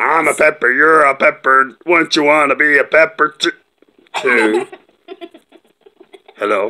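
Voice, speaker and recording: A cartoonish character voice at a fairly slow pace, with long, frequent pauses. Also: man, fairly high pitch for a man. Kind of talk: playful puppet show banter. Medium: puppet show. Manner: bossy, exasperated. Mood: pleading, silly.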